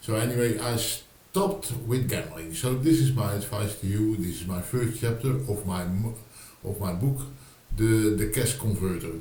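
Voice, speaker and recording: A man's fairly low voice with a Dutch accent and ordinary pitch variation, amid noticeable background noise and audible room echo. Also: moderate pace. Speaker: writer and video blogger. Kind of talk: casual vlog monologue. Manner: halting, many fillers and repetitions.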